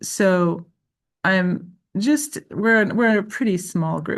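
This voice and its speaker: The voice is somewhat breathy and moves at a very slow pace with ordinary pitch variation. The background is quiet. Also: woman. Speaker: lecturer. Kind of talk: online workshop facilitation. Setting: video call. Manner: halting.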